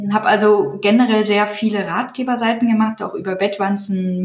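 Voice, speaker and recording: Spoken at a moderate pace with fairly even intonation, the clip carries noticeable background noise. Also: woman. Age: 30s. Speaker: digital agency owner and niche site builder. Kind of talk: interview.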